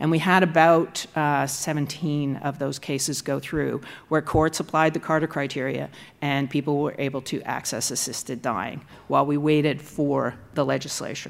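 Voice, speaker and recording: The voice has vocal fry and a Canadian accent. Delivery is at a moderate pace with monotone, flat intonation. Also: woman, very deep, low pitch for a woman. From Canada, Nova Scotia. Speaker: law professor. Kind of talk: lecture. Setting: stage with audience.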